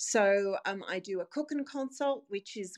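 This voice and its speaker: In an Australian accent, a woman of medium pitch speaks at a fairly slow pace with ordinary pitch variation, in a dry, close sound with no echo against a quiet background. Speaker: dietitian. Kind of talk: interview.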